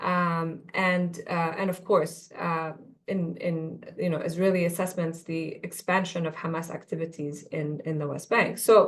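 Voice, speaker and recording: With an Arabic accent, a woman talks at a fairly slow pace. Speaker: policy analyst. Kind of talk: webinar panel discussion. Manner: halting, many fillers and repetitions.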